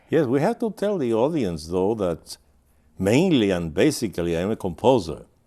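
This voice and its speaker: A man talks with very wide pitch swings. His tone is dark and mellow. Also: fairly low pitch for a man, moderate pace. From Cuba, Havana. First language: Spanish. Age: 90s. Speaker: composer and emeritus professor. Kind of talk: interview.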